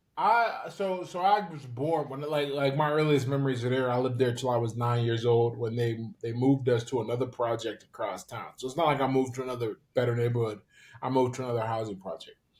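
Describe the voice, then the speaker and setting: Someone with an American accent speaks very fast in a somewhat breathy voice with ordinary pitch variation. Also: man, medium pitch for a man. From US, Pittsburgh. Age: 30s. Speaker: former boxer and author. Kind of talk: podcast interview. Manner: hesitant, many repetitions.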